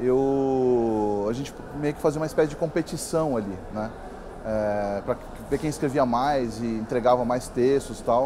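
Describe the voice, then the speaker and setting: Against noticeable background noise, a man with a São Paulo accent talks at a fairly slow pace and medium pitch, with ordinary pitch variation. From Brazil, São Paulo. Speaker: writer. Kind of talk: interview. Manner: halting, many fillers.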